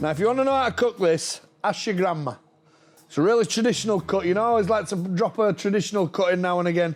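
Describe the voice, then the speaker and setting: With a Yorkshire accent, a man speaks at a very fast pace and a high pitch. His loudness stays very even, with ordinary pitch variation. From Yorkshire, northern England. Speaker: butcher. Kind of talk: sales pitch. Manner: animated.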